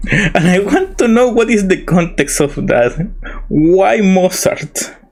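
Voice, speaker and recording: With a Spanish accent, this voice moves at a very slow pace, its intonation lively and its loudness very even. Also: man, high pitch for a man. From Chile. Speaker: vtuber streamer. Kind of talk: casual live stream chat. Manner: halting, with repeated words.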